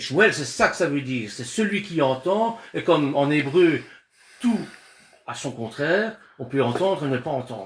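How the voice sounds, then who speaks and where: Talking at a fairly slow pace with long, frequent pauses, a man uses a fairly high pitch with very wide pitch swings. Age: 60s. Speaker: Bible study teacher. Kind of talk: religious discussion. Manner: halting, with repeated words.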